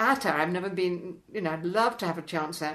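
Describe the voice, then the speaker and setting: Intonation is lively as a woman talks at a moderate pace. Audible room echo surrounds her voice. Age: 90s. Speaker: mountaineer and polar explorer. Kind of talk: casual interview chat. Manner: animated; halting.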